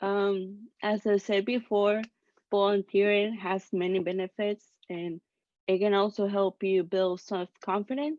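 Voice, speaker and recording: Speaking fairly slowly with a non-native accent, a woman at medium pitch keeps her intonation fairly even in a dry, close sound with no echo. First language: not English. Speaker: student volunteer. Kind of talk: casual chat. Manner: hesitant.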